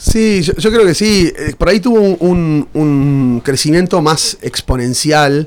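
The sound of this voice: At a fairly slow pace, a man speaks with a fairly high pitch, ordinary pitch variation and a slightly mellow tone.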